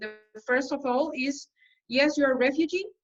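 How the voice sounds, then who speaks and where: A woman with a Spanish accent speaks in a high pitch, which varies in an ordinary way. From El Salvador. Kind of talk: panel talk at an online conference. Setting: online webinar. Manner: halting, with many fillers.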